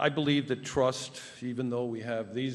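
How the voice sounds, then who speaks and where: With audible room echo, a man speaks at a fairly slow pace and medium pitch in monotone, flat intonation. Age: 70s. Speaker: public commenter. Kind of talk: public comment at town council meeting. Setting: town council meeting. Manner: halting.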